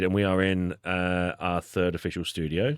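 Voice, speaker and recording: Recorded very cleanly over a silent background, a man speaks in a very deep, low voice with a dry, close sound and no echo. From Australia. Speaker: podcast host. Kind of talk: casual chat. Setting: studio.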